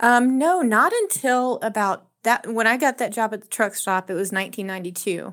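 A woman with a fairly high pitch, an ordinary speaking voice, ordinary pitch variation, a moderate pace, hardly any pauses, and a very clean recording with a silent background. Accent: American. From South Texas. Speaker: restaurant server and labor organizer. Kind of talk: radio interview.

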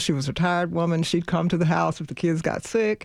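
The speaker talks at a fairly quick pace with a Southern US accent and ordinary pitch variation against a quiet background. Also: woman. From US South. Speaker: lawyer. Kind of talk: radio interview. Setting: studio. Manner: laughs often.

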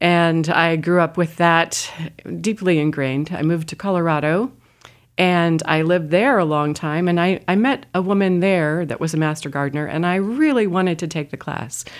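A woman uses an ordinary speaking voice, with a fairly low pitch, ordinary pitch variation and a moderate pace. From Indiana. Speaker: master gardener association treasurer. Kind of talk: radio interview. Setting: studio.

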